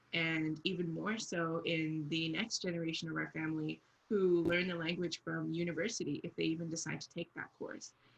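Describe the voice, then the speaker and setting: A woman with a plain, everyday voice and a fairly low pitch talks at a moderate pace with fairly even intonation and hardly any pauses. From Canada. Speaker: book club member. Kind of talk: casual book discussion.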